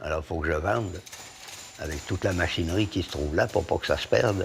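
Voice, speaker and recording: A man's very deep, low pitch amid noticeable background noise. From France, Lyon. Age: 70s. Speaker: master blacksmith. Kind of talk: documentary interview.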